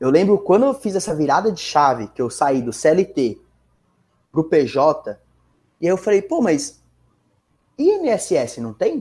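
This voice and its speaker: A man with a São Paulo accent speaks very slowly in a dark, mellow tone at a high pitch. His pitch swings very widely, and he leaves long, frequent pauses. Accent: São Bernardo accent, noticeable R. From São Bernardo do Campo, Greater São Paulo, Brazil. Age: 20s. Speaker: financial market professional. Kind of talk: casual podcast interview.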